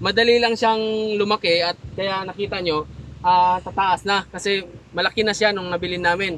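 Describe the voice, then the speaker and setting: With light background noise and a dry sound with no echo, a man with a high pitch talks at a moderate pace in a monotone, flat intonation. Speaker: farmer vlogger. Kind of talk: casual vlog chat.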